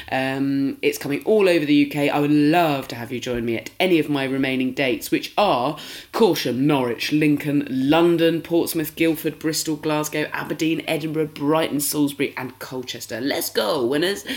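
A British accent at a moderate pace, with hardly any pauses. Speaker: podcast host. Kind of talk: casual chat.

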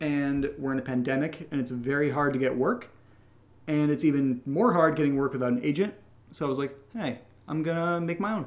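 A man with a plain, everyday voice speaks at a fairly quick pace. His pitch is fairly high, with ordinary variation. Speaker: podcast co-creator answering patron questions. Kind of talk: casual chat.

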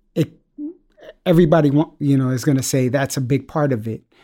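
A man with a New York accent speaks at a fairly high pitch with fairly even intonation. The recording is very clean, with a silent background. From New York, Bronx. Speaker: father, old friend of host. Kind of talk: casual chat.

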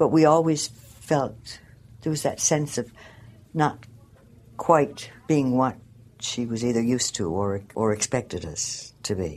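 With a Newfoundland accent, a woman speaks at a very deep, low pitch and a fairly slow pace, her pitch swinging very widely, with long, frequent pauses. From St. John's, Newfoundland. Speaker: local resident. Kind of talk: interview. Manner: halting.

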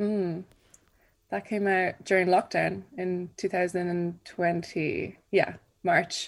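A woman speaks at a very slow pace with a medium pitch and a monotone, flat intonation, on a very clean recording with a silent background. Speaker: singer-songwriter. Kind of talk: radio interview.

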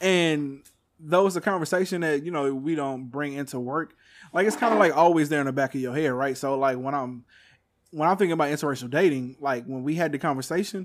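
On a very clean recording with a silent background, a man with an American accent talks in a normal speaking voice at a fairly high pitch. His pace is fairly quick and his pitch variation ordinary. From Texas. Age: 30s. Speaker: podcast host. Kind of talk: casual chat.

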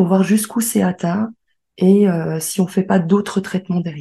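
At a moderate pace, a woman speaks in a medium pitch, somewhat breathy and dark, mellow in tone, with fairly even intonation. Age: 30s. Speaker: medical secretary. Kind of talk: personal testimony.

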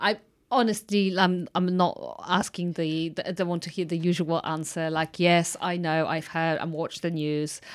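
A woman speaks with a Polish accent at a moderate pace, with hardly any pauses. Her pitch is fairly low. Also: fairly even intonation. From Poland. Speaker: podcast host. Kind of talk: casual interview.

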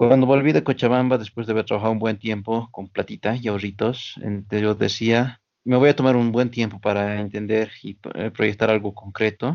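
Here a man has an ordinary speaking voice at medium pitch and fairly even intonation. He keeps a moderate pace with hardly any pauses. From Bolivia, Oruro. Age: 30s. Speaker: small business owner, former gym instructor. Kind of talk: casual interview.

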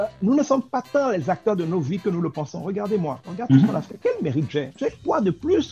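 A man talking at a very fast pace with very wide pitch swings over noticeable background noise. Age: 40s. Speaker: entrepreneur and sales expert. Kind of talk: interview.

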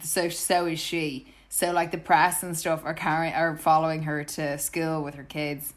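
With an Irish accent, a woman speaks at a fairly low pitch in a flat monotone. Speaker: podcast co-host. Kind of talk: casual chat.

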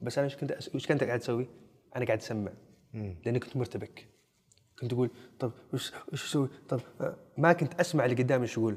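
A man at a medium pitch, somewhat breathy and very fast, with ordinary pitch variation and long, frequent pauses. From Saudi Arabia, Najd (Riyadh region). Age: 20s. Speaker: actor. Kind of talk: casual chat. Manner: animated.

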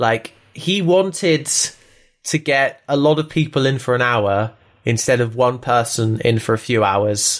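Speaking at a fairly slow pace, a man with a medium-pitched voice uses lively intonation and an animated tone. His loudness stays very even, and the recording is very clean with a silent background. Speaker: podcast co-host. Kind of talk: casual chat. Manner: joking, animated.

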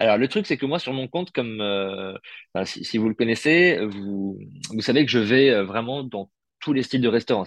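A man with a normal speaking voice and medium pitch talks with ordinary pitch variation, the sound dry and close with no echo against a quiet background. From Paris, France. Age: 30s. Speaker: food content creator, former radio journalist. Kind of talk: casual interview.

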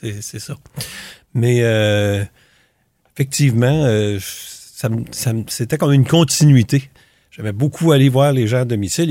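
A man speaks at a medium pitch with a dark, mellow tone and ordinary pitch variation. He leaves long, frequent pauses. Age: old. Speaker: retired family doctor and volunteer. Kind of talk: interview. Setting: studio. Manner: halting.

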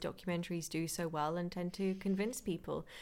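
Speaking with a British accent, a woman uses a medium pitch and monotone, flat intonation. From Britain. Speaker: nutritionist and podcast host. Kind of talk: casual chat.

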